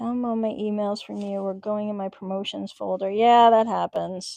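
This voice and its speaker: Delivered at a moderate pace, the voice has a dark, mellow tone and a Long Island accent. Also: woman. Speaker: crafting livestream host. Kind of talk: casual live crafting chat. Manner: animated.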